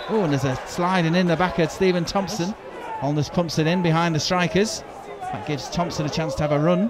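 A man at a very fast pace and high pitch, animated in tone, dry with no echo, crowd noise in the background. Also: ordinary pitch variation. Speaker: football commentator. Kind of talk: live football commentary. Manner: fast, animated play-by-play, rising excitement at chances.

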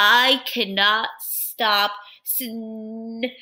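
A woman puts on a character voice that is nasal, fairly high and flat, monotone in intonation.

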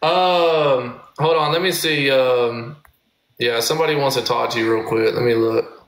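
A man with an American accent at a moderate pace, with ordinary pitch variation, very even loudness and audible room echo. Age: 30s. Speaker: live streamer. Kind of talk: trash-talk live stream battle. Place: home room. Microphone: phone near.

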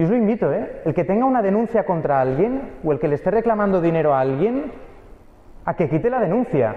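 A man's high-pitched voice at a fairly quick pace, full of big pitch swings

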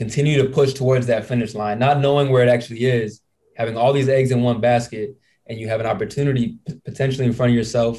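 A man with an American accent speaks very fast in a dark, mellow, somewhat breathy tone and a flat monotone. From Indiana. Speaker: podcast host and basketball player; podcast host. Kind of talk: casual chat. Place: home room. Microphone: handheld.

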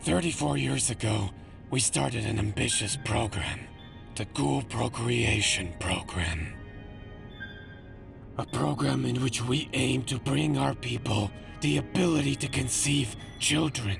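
Loud music plays behind a man doing a fairly low-pitched, put-on character voice. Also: fairly slow pace. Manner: grandiose, preachy.

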